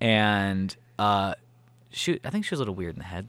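With an American accent and a bright, sharp tone, a man speaks at a fairly quick pace with lively intonation and a fairly low pitch, captured in a very clean recording with a silent background. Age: 20s. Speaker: podcast co-host and producer. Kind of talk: casual chat.

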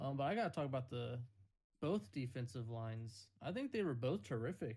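A man speaks in a somewhat breathy voice. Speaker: podcast host. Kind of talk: casual chat. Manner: joking, animated.

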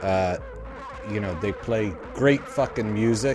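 Against noticeable background noise, an upbeat man with an American accent speaks at a fairly low pitch. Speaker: punk radio host. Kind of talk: radio DJ patter, holiday sign-off. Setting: radio studio show. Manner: jokey, laughing, upbeat; casual, loose, swearing.

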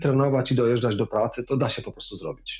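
A man talks at a fairly quick pace in a somewhat breathy, medium-pitched voice with ordinary pitch variation. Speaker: former politician and amateur cyclist. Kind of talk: interview. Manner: relaxed.

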